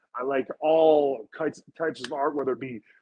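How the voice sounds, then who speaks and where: A man with a fairly high pitch speaks in a Montreal accent. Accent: Montreal English Canadian. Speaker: professional wrestler. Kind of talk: casual chat. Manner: animated.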